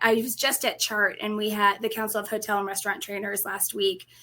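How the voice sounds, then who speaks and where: A bright, sharp, fairly quick voice with a slight Colorado accent. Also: woman. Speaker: restaurant industry training executive. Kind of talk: interview.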